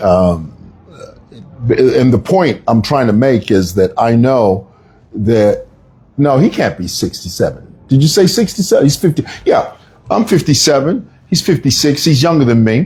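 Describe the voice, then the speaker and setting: A man's somewhat breathy voice, medium in pitch with a dark, mellow tone, moves at a fairly slow pace through very wide pitch swings. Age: 50s. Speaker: political commentator. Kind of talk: live stream commentary. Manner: animated.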